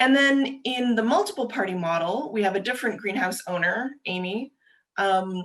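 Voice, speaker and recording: Lively intonation marks a woman's plain, everyday voice, pitched fairly high and delivered at a moderate pace. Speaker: government agency presenter. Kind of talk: webinar presentation. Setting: video call.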